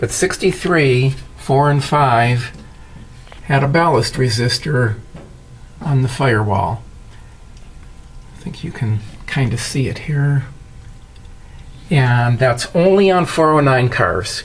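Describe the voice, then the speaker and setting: Over noticeable background noise, a man talks at a very slow pace. He leaves long, frequent pauses. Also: medium pitch for a man, ordinary pitch variation. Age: 70s. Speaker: classic car enthusiast. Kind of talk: casual talk to camera.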